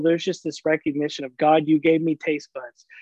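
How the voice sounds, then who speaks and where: This man has an ordinary speaking voice, fairly high in pitch, with an American accent. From US South, rural Oklahoma. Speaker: pastor. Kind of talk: casual chat.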